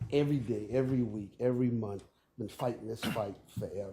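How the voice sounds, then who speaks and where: Somewhat breathy and dark, mellow in tone, the voice has an American accent. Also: man. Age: 60s. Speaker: local resident speaking at zoning hearing. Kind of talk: public hearing testimony. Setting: public meeting room.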